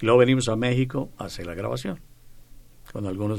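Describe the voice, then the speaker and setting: There is audible room echo around this man's voice. He speaks at a fairly quick pace. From Mexico, Yucatán (Mérida). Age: 70s. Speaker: retired tenor singer. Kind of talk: radio interview.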